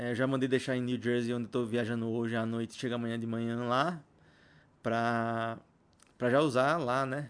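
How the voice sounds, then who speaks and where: Speaking moderately fast, a man keeps to a monotone with flat intonation. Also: medium pitch for a man. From Brazil. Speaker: podcast host. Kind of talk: casual solo monologue. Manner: rambling, halting with repetitions. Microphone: new mic, unfamiliar.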